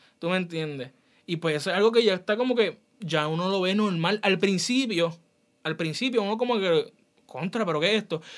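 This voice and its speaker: Fairly quick speech from a man, high in pitch, its pitch moving in a normal way. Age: 20s. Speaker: podcast host. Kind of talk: casual chat.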